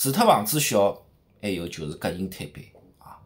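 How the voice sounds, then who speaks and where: In a Shanghai accent, a man talks at a moderate pace with an animated tone, very wide pitch swings and vocal fry. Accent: Shanghainese, Shanghai-accented Mandarin. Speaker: street vlogger. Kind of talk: vlog narration. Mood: lively, humorous. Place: home room. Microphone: phone near.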